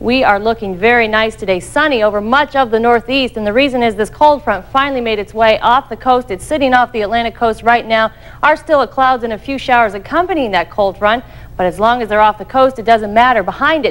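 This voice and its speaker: Her pitch varies in an ordinary way as a woman speaks at a fairly quick pace. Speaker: TV presenter. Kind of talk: weather forecast presentation. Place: studio.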